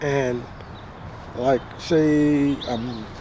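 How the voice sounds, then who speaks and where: A man's fairly high-pitched voice is heard against noticeable background noise. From Belize. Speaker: retired business owner. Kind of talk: casual talk to camera.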